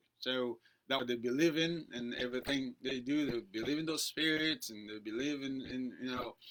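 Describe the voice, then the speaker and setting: With a Haitian accent, a man talks at a moderate pace in a medium pitch, his intonation fairly even. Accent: Haitian Creole-accented English. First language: Haitian Creole. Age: 30s. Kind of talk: interview. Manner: halting.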